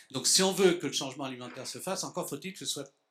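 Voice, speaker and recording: Very fast speech comes from a man with ordinary pitch variation. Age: 70s. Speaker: association founder, conference speaker. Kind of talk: lecture. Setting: conference hall with audience. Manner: halting.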